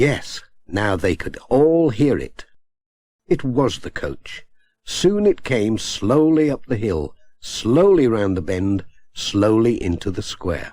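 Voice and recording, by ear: A man speaks slowly with a fairly low pitch and a dark, mellow tone. His voice makes big pitch swings.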